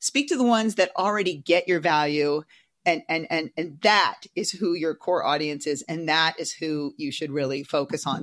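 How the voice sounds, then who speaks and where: A woman with a normal speaking voice and a fairly low pitch talks at a moderate pace with ordinary pitch variation, in a very clean recording with a silent background. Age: 50s. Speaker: social media ghostwriter. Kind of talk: casual chat.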